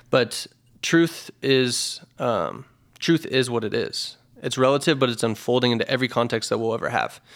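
In a very clean recording with a silent background, a man at medium pitch uses an ordinary speaking voice at a moderate pace. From Idaho, US. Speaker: physical therapy business owner. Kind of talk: casual interview chat.

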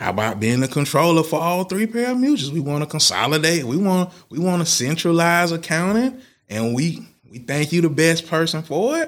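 In a very clean recording with a silent background, the speaker talks at a fairly quick pace with lively intonation and an American accent. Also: man, high pitch for a man. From Tallahassee, Florida, US South. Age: 30s. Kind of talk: casual interview.

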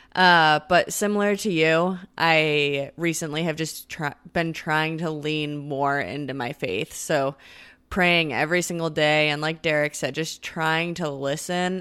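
A woman at a fairly low pitch and a very slow pace, in a very clean recording with a silent background. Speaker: co-host. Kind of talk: casual chat.

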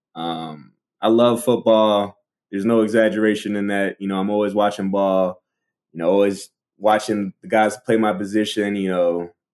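In an American accent, a man talks at a fairly low pitch and a fairly quick pace with monotone, flat intonation. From Baltimore, Maryland. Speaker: college football player. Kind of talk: interview answers. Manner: casual, hesitant with fillers.

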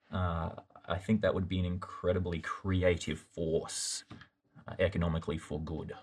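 A man with an Australian accent and a very deep, low, somewhat breathy voice speaks at a moderate pace in a monotone, flat intonation. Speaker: youth pastor. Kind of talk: Bible study discussion. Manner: halting, repeats words.

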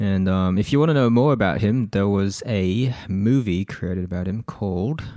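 A man's fairly low voice in a dark, mellow tone, with an Australian accent, moderate pace and ordinary pitch variation. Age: 20s. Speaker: tech podcast co-host. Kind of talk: casual chat.

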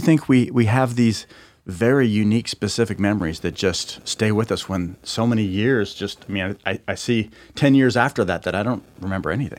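A man speaks at a moderate pace in an unremarkable speaking voice. The recording is very clean, with a silent background. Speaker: guest host. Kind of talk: interview.

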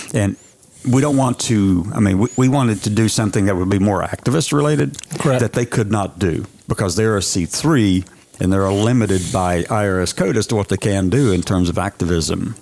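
A man speaks at a moderate pace in a fairly low pitch, with ordinary pitch variation and very even loudness. Background noise is noticeable.

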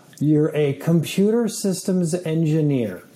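A man with an American accent talks at a fairly slow pace. Noticeable background noise runs behind him. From upstate New York. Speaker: media executive and Air Force veteran. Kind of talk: interview. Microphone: echo.

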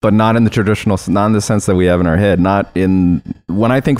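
A man with a fairly low pitch talks at a very fast pace with fairly even intonation. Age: 40s. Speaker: office worker and former podcast guest. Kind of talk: casual chat.

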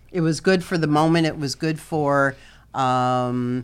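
A woman with an American accent, at a fairly slow pace, with ordinary pitch variation. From Chicago. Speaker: retired nurse, challenge winner. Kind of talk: interview.

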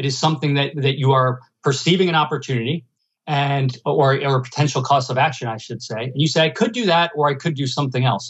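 A man with an American accent speaks in a normal speaking voice at a fairly high pitch. His pace is fairly quick, with ordinary pitch variation. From New Jersey / New York area. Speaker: economics professor. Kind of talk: interview.

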